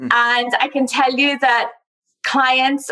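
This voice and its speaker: A woman with a high pitch, a bright, sharp tone and monotone, flat intonation. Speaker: travel company founder. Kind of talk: interview.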